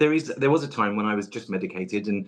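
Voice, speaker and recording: Against a quiet background, a man talks at a very fast pace in a fairly low pitch with ordinary pitch variation. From southeast England, Essex. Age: 40s. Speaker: tarot reader, podcast guest. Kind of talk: personal interview conversation. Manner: hesitant, many fillers.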